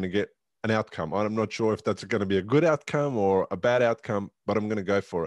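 At a fairly quick pace, a man speaks in an Australian accent with a fairly low pitch and ordinary pitch variation. The sound is dry with no echo, and the background is quiet. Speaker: podcast host and stroke survivor; podcast host. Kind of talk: interview conversation. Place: home room.

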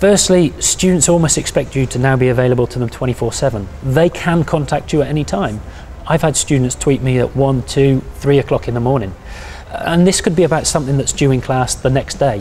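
A fairly quick pace with ordinary pitch variation over light background noise. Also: man. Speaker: university lecturer. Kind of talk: interview answer. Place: office. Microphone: lapel.

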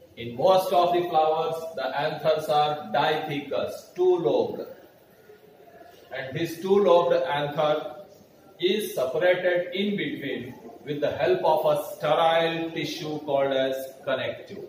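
With fairly even intonation, a man talks at a fairly slow pace and leaves long, frequent pauses. Audible room echo and light background noise accompany him. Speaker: biology teacher. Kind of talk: lecture. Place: classroom. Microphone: camera far.

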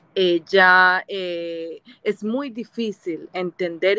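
In a dry recording with no echo, a woman speaks at a medium pitch with a bright, sharp tone and fairly even intonation. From Colombia. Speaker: viewer joining live stream; guest. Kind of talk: casual chat. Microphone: video call.

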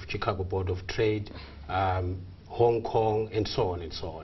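A man speaks in a somewhat breathy voice. There is light background noise. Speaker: exchange strategist. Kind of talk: tv interview. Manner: halting. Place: studio.

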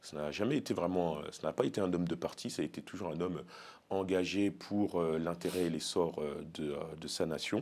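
A man's very deep, low voice at a moderate pace, with ordinary pitch variation. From Paris suburbs, France; France. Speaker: elected officials' association leader; guest. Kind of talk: interview. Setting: studio. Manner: hesitant, many fillers. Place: studio. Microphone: lapel.

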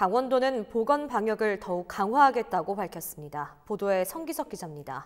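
Hardly pausing, a woman talks at a fairly quick pace and a fairly high pitch with very wide pitch swings. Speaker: news anchor. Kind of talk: news reading. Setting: studio.

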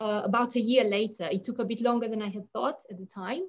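The background is quiet. A woman speaks in a Romanian accent. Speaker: poet. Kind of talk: panel discussion and poetry reading. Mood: calm, reflective. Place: home room. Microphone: video call.

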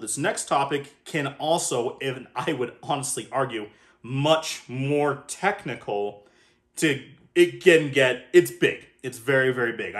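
Mumbling in a put-on character voice, a man talks at a fairly high pitch and a fairly slow pace. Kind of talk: explanatory, video narration. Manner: stuttering, mumbling.

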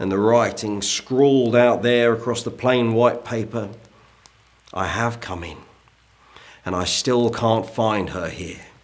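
Speaking at a fairly slow pace, a man keeps his intonation fairly even. Long, frequent pauses break up his words. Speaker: historical character actor. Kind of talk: ghost story telling, period drama. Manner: slow, suspenseful storyteller building dread. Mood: hushed, suspenseful. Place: home room.

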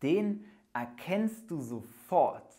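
Against a quiet background, a man with a high pitch speaks with very wide pitch swings. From Germany. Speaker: German teacher. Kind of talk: language lesson. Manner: slow. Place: studio. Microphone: lapel.

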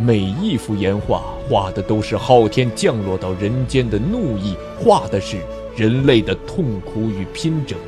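A man's fairly low voice with lively intonation, a fairly slow pace and music in the background. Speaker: audiobook narrator. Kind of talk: audiobook novel narration.

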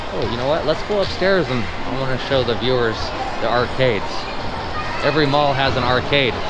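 Over loud background noise, a man talks at a fairly quick pace with an American accent. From California. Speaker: travel vlogger. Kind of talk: vlog walking tour narration. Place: shop. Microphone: phone near.

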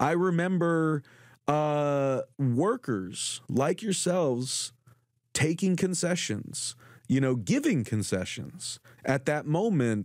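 In an American accent, a man speaks at a very slow pace in a fairly high voice, his intonation lively. His loudness stays very even, and the recording is very clean with a silent background. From Southern California, Orange County. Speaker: podcast host. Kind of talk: panel interview.

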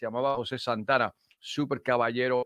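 A man with an English accent speaks against a quiet background, and the sound is dry with no echo. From Chicago. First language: English (speaking Spanish). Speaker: sales trainer and speaker; sales trainer, speaker. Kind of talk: interview. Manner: halting. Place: studio. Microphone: video call.

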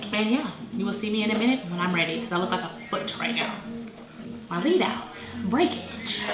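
A woman speaks at a fairly quick pace. Music can be clearly heard in the background. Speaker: vlogger. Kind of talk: casual vlog chat. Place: home room. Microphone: camera far.

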